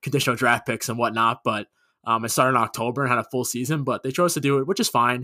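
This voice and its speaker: A man with a New York accent speaks at medium pitch in a bright, sharp tone with fairly even intonation. The recording is very clean, with a silent background and a dry, close sound with no echo. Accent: New York area American. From Long Island, New York. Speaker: podcast co-host, hockey fan. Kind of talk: casual chat.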